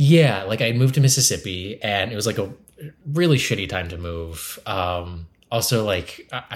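On a very clean recording with a silent background, a fairly low-pitched man speaks somewhat breathily at a moderate pace with lively intonation. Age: 30s. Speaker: comedian and improviser. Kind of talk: casual chat.

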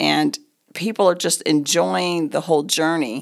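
Vocal fry from a woman with a very deep, low pitch and an American accent, at a moderate pace on a very clean recording with a silent background. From Oklahoma. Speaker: real estate agent and ministry leader. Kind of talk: casual chat.

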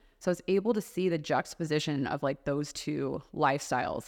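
A woman with a very deep, low pitch speaks with an American accent and ordinary pitch variation. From Houston, Texas. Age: 30s. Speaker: podcast host and PR company CEO. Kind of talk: interview (being interviewed).

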